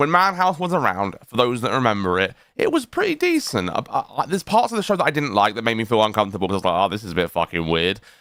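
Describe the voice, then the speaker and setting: The speech runs at a very fast pace with hardly any pauses and very wide pitch swings. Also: man, medium pitch for a man. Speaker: livestream commentary co-host. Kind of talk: casual livestream chat.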